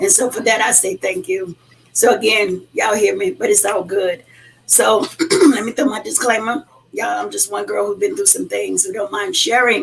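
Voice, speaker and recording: Noise in the background is noticeable. A woman speaks over it at a moderate pace. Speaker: podcast host. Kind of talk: casual talk to listeners. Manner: animated.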